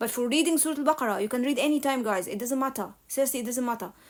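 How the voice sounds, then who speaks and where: A woman's high voice with ordinary pitch variation, on a very clean recording with a silent background. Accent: Egyptian. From Egypt. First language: Arabic. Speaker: religious live streamer. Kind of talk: casual live Q&A. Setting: live stream.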